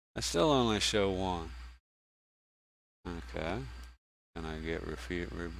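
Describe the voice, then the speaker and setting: A man with a very deep, low voice, vocal fry and a Southern US accent, lively intonation, a fairly slow pace with long, frequent pauses, and audible room echo. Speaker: game streamer. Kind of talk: casual gameplay commentary. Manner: halting, with many restarts.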